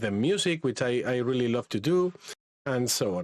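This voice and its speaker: Very wide pitch swings in a Spanish accent at a moderate pace. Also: man. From Spain. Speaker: AI content creator and workshop instructor. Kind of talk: live online workshop. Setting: live stream. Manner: halting, many repetitions.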